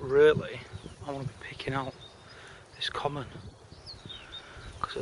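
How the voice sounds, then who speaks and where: Noticeable background noise sits behind a man whose pitch is fairly high. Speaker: carp angler. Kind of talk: fishing vlog commentary. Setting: outdoors at a fishing lake. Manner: whispering.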